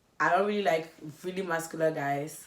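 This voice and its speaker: Over noticeable background noise, a woman talks at a moderate pace in a fairly low voice. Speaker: beauty vlogger. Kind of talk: casual chat.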